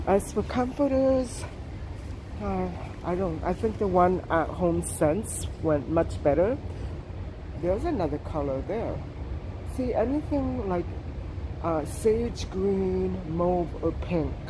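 Noticeable background noise sits under speech broken by long, frequent pauses. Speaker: shopping vlogger. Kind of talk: casual vlog chat. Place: shop. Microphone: phone near.

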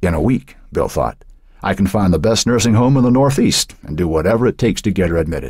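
A natural reading voice, delivered with lively intonation.

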